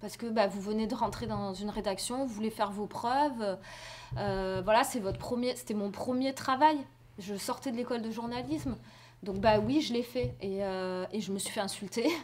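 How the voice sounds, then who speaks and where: A woman's medium-pitched voice with lively intonation at a moderate pace. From France, Marseille. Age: 30s. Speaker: journalist and documentary filmmaker. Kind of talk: interview with students. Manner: hesitant, many fillers.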